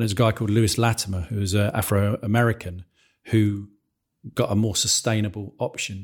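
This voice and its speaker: With an English accent, a man talks at a fairly quick pace in a fairly low, somewhat breathy voice and monotone, flat intonation, on a very clean recording with a silent background. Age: 40s. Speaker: school podcast host, staff member. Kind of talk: casual discussion.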